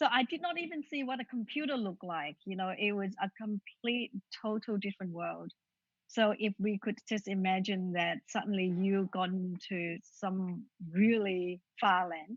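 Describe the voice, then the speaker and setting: A woman with a Vietnamese accent at a moderate pace. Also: medium pitch for a woman, ordinary pitch variation. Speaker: author. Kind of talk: interview.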